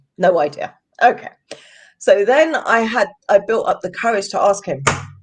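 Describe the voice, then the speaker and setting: The tone is animated, with very wide pitch swings. The speaker talks in a London accent. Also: woman. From London, England. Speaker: podcast guest sharing life abroad. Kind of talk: storytelling interview.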